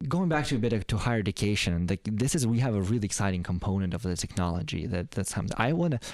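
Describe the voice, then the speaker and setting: A man with a fairly low voice talks at a very fast pace with hardly any pauses, lively intonation and very even loudness, on a very clean recording with a silent background. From foreign country, not North America. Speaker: podcast interviewer. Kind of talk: interview.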